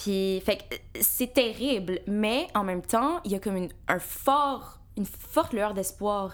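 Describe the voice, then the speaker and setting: A woman speaks at a medium pitch in an ordinary speaking voice, her pitch varying in an ordinary way. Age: 20s. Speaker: university student. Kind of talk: casual chat.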